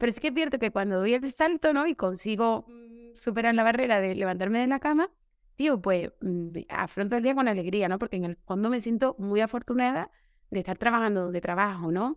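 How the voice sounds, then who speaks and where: Lively in intonation and fairly quick, a woman with an unremarkable speaking voice and fairly high pitch is heard in a dry, close sound with no echo. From Seville, Andalusia, Spain. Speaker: primary school teacher. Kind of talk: casual interview chat.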